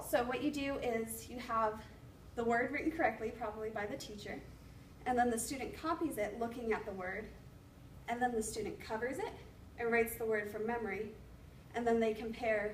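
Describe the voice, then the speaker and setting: Through audible room echo and noticeable background noise, a woman speaks at a fairly quick pace with long, frequent pauses, a fairly high pitch, and ordinary pitch variation. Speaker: education student presenting. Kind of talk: class presentation. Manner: fast.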